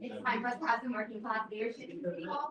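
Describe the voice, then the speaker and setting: Against noticeable background noise, the speaker goes at a very fast pace with lively intonation. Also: woman. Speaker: mayoral candidate. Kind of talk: campaign speech. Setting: pub meeting with audience. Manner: soft-spoken. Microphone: no microphone, hard to hear.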